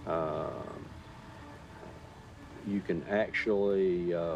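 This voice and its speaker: Music plays in the background as a man speaks at a fairly low pitch with ordinary pitch variation. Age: 60s. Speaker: farmer. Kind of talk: interview.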